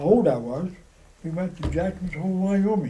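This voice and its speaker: In a room with audible echo, a man speaks at a moderate pace, his tone dark and mellow with ordinary pitch variation. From Idaho. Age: 80s+. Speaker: war veteran. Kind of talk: oral history interview.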